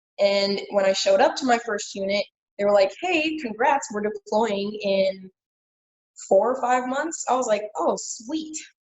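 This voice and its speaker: A woman with a fairly high pitch, a normal speaking voice and an American accent, at a fairly slow pace. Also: lively intonation. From Kansas City, Missouri. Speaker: former Marine. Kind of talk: casual interview.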